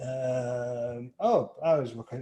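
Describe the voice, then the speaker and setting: A man's dark, mellow voice in a strong East Yorkshire accent. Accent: East Yorkshire, quite strong. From East Yorkshire, England. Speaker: photographer and interviewer. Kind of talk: casual interview chat.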